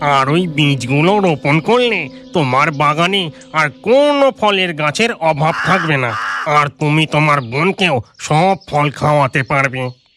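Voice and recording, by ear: Over music in the background, a man does a cartoonish character voice at a fairly slow pace. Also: fairly high pitch for a man.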